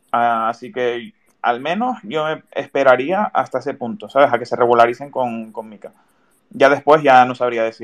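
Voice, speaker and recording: A man's plain, everyday voice at medium pitch, with ordinary pitch variation, a moderate pace and big swings in loudness. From Canary Islands (Tenerife). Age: 20s. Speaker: podcast host. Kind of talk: casual interview.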